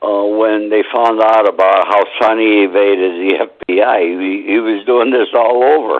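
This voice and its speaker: Speaking at a moderate pace, a man with a fairly low pitch keeps his intonation fairly even over noticeable background noise. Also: very even loudness. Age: 70s. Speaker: author. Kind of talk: interview.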